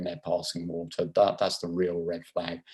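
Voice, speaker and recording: A man with a British accent at a moderate pace, over a quiet background. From England. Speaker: neurosurgeon. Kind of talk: lecture. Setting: video call.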